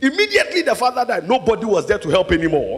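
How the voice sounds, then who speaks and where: An animated man's voice with music in the background. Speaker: preacher. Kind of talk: sermon. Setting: church with congregation. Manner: animated, rousing call-and-response; loud, urgent, full of exhortation.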